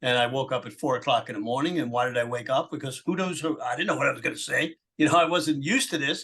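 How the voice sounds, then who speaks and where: At a very fast pace, a man speaks with a fairly high pitch and a bright, sharp tone. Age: 80s+. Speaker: political activist and shirt company owner. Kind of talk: interview.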